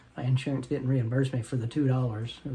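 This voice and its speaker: Talking at a very fast pace, a man with a medium pitch has a dark, mellow, somewhat breathy tone and monotone, flat intonation. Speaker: vlogger; military veteran. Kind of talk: casual vlog monologue. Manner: stammering, repeats words.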